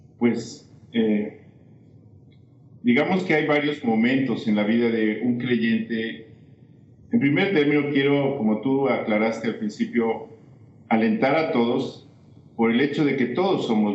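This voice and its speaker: A man speaks at a medium pitch and a fairly slow pace, with long, frequent pauses. His loudness stays very even, and room echo is audible. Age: 60s. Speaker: missionary. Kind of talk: testimony.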